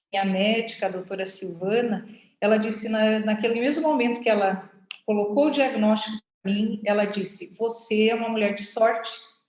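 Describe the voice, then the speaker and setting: In a plain, everyday voice, a woman talks at a fairly slow pace with a fairly high pitch and fairly even intonation. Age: 60s. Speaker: cancer patient, physical education teacher. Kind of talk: personal testimony.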